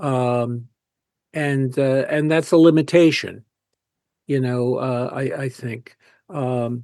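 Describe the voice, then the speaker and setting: Speaking very slowly with an American accent, a man has a medium pitch, a dark, mellow tone and fairly even intonation. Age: 70s. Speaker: activist and author. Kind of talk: interview. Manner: halting, many fillers.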